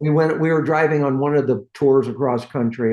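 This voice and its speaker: This American-accented man has a normal speaking voice at medium pitch with ordinary pitch variation. He talks at a fairly quick pace. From San Francisco Bay Area, California. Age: 60s. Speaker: hot rod builder, shop owner. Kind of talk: casual interview chat.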